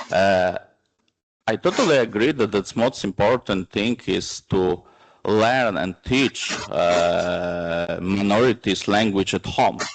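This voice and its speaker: A man with a non-native accent speaks at a very slow pace, his pitch fairly low and its variation ordinary. The sound is dry and close, with no echo. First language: Romani. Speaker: panel speaker, minority rights advocate. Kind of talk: conference panel discussion. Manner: halting, many filler sounds.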